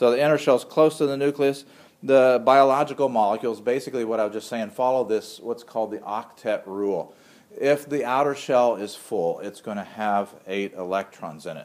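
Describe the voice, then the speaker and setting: This is a man with a normal speaking voice at a medium pitch. He keeps a moderate pace with ordinary pitch variation. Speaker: microbiology instructor. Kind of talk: lecture.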